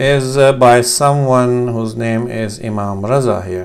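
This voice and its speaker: A man with a Pakistani accent speaks at a very slow pace and a medium pitch, with ordinary pitch variation. Audible room echo surrounds his voice. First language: Urdu. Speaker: language teacher. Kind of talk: tutorial. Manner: hesitant, many fillers.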